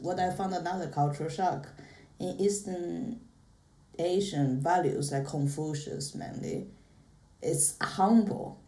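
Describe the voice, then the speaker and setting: A woman speaks at a medium pitch with a dark, mellow tone and a somewhat breathy quality. Audible room echo surrounds her voice. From China. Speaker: podcast guest. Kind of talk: casual chat.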